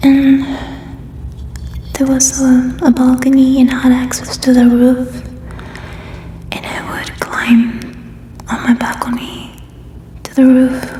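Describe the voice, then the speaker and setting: Over noticeable background noise, a woman speaks very slowly in a high, monotone voice with flat intonation, long, frequent pauses, and big swings in loudness. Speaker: ASMR creator. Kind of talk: ASMR personal questions game, casual talk to camera. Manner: soft-spoken, whispering.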